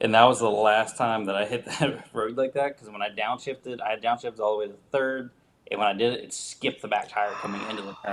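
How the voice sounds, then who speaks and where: A man talks very fast at a medium pitch, his intonation monotone and flat while his loudness swings widely. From West Virginia. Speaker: motorcycle rider. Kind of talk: casual chat.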